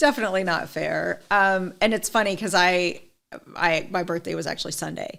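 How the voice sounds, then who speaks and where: The voice has lively intonation and some vocal fry, delivered at a moderate pace. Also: woman. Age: 40s. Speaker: skin care sales consultant. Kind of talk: casual interview chat.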